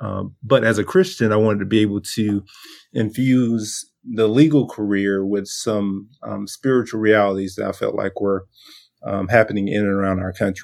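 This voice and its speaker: A man with a Southern US accent, fairly low in pitch, at a moderate pace with fairly even intonation, in a very clean recording with a silent background. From US South, coastal Georgia. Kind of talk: casual interview.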